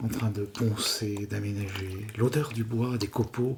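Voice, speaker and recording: With a calm, gentle tone, a man speaks very slowly in a fairly low voice over noticeable background noise. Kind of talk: whispered ASMR story. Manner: whispered, calm, gentle.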